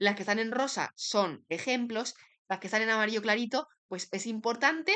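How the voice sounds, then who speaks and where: A woman speaks with lively intonation and a fairly high pitch. Her tone is bright and sharp. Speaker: law student making study videos. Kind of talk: study summary tutorial.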